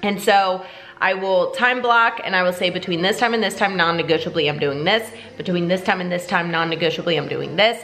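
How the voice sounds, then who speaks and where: A woman with a medium pitch and an animated tone talks at a fairly quick pace with ordinary pitch variation, amid noticeable background noise and audible room echo. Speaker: fitness vlogger and bikini competitor. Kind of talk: vlog monologue. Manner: fast.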